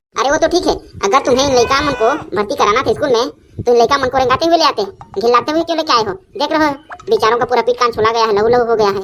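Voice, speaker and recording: In a cartoonish character voice, a woman speaks very fast at a high pitch with lively intonation. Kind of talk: standard Hindi, barely knows Chhattisgarhi. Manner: fussy, concerned.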